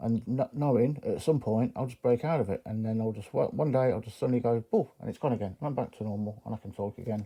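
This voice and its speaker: A man's medium-pitched, dark, mellow voice with an English accent, fairly even intonation and a fairly quick pace. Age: 50s. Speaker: knife collector YouTuber. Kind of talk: casual monologue to camera. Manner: halting.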